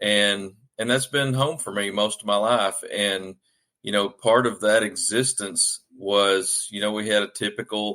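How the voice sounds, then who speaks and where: A man in a Southern US accent with a bright, sharp tone, fairly even intonation and a fairly slow pace. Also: fairly low pitch for a man. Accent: Southern US accent, noticeable. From Arkansas, US South. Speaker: author. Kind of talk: podcast interview. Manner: hesitant, many fillers.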